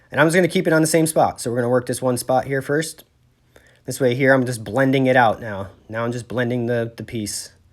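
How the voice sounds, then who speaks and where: A man talks in a plain, everyday voice at a fairly quick pace. His pitch shows ordinary variation. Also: medium pitch for a man. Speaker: sheet metal worker. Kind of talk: tutorial. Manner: casual.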